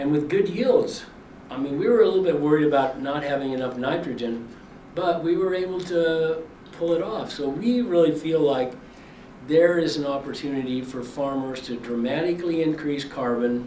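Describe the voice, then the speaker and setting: A man speaks moderately paced and fairly high-pitched, his pitch varying in an ordinary way, while noticeable background noise and audible room echo fill the recording. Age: 80s+. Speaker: farmer and activist. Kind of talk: speech. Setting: briefing before lawmakers.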